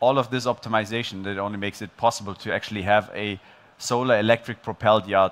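Moderate pace and fairly even intonation from a man. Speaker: presenter. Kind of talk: conference talk. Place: stage. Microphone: headset.

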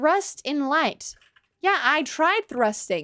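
Here a woman speaks with an animated tone and lively intonation. The background is quiet. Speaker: gaming streamer. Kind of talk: live gameplay stream commentary. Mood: playful, amused. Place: home room.

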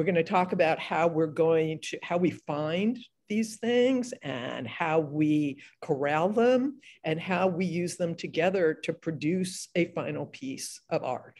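A woman's fairly low voice with lively intonation, at a fairly slow pace against a quiet background. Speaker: novelist and panel moderator; panelist. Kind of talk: panel discussion. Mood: warm, animated. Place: home room. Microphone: video call.

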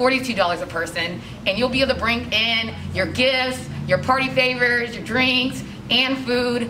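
Over noticeable background noise, a woman speaks at a fairly slow pace with ordinary pitch variation. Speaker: studio instructor. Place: shop.

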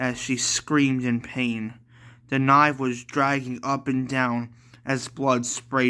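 The recording carries a natural reading voice.

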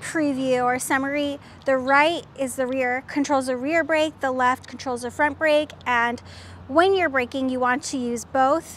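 A woman with a high voice talks at a fairly slow pace and with fairly even intonation, in a dry sound with no echo and light background noise. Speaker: presenter. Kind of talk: tutorial. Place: street. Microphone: lapel.

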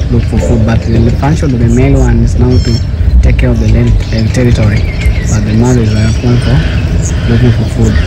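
With music in the background, a man talks at a fairly quick pace using ordinary pitch variation. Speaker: sanctuary guide. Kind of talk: guided tour explanation. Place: open country. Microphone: phone near.

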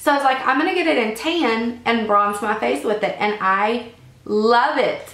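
A woman with an American accent speaks at a moderate pace with a fairly high pitch and lively intonation. Her loudness stays very even despite noticeable background noise. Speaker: beauty vlogger. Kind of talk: casual talk to camera.

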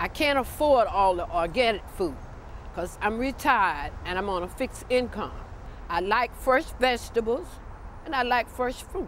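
Over light background noise, a woman speaks at a moderate pace in a high voice with very wide pitch swings and a dry sound with no echo. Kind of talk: interview answer. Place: street.

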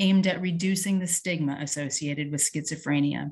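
The voice sounds somewhat breathy. Its intonation stays fairly even over a quiet background. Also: woman. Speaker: host introducing speakers. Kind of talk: formal speaker introduction. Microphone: video call.

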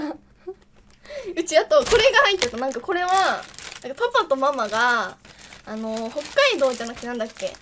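Against light background noise, a woman talks at a moderate pace in a high pitch. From Kumamoto, Kyushu, Japan. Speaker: game streamer. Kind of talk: casual stream talk. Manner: casual, chatty. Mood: cheerful, laughing. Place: home room. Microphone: studio mic.

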